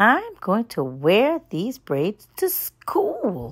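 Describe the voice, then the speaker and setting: A woman's put-on character voice, fairly high and swinging very widely in pitch, at a very slow pace. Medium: read story.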